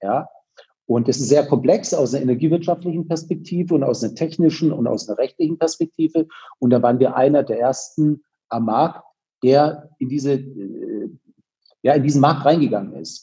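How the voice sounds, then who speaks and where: This man's voice sits fairly high, with a dark, mellow tone, a somewhat breathy quality, ordinary pitch variation, and a moderate pace. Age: 40s. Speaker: company founder. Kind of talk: interview. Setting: video call.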